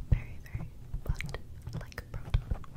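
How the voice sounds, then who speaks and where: At a moderate pace, a woman is whispering in a gentle tone. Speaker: ASMR creator. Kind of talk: soft whispered ASMR chat. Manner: gentle smiling ASMR whisper. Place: home room. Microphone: studio mic.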